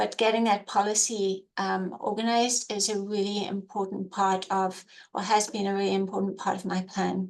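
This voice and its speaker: A woman at medium pitch with a slight South African accent, monotone, flat intonation, a moderate pace and hardly any pauses. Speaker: emergency program coordinator. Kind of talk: webinar presentation.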